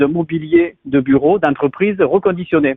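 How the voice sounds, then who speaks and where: A man speaks in a southern French accent with ordinary pitch variation. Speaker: startup founder. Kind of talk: interview.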